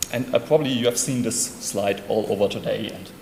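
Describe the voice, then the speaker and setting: In a German accent, a man with a medium pitch talks at a very fast pace, with audible room echo and noticeable background noise. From Germany, Hamburg. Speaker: conference speaker. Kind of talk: conference talk.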